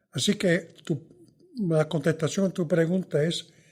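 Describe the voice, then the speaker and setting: His voice comes across somewhat breathy. The man keeps to a fairly slow pace. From New York, Puerto Rican family. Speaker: veteran journalist and author. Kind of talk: interview conversation.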